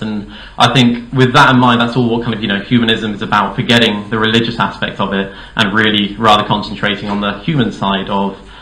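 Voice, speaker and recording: Audible room echo surrounds a man with a southern English accent. He talks at a fairly quick pace with fairly even intonation. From Dorset, southern England. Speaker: political candidate. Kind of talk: campaign speech. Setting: hall with audience. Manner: hesitant, many fillers.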